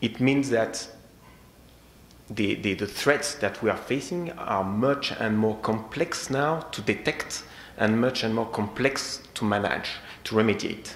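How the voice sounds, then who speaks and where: With audible room echo, a man speaks in a strong French accent at a fairly slow pace, his medium pitch showing ordinary variation. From France. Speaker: security technology sales engineer. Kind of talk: conference presentation. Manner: halting.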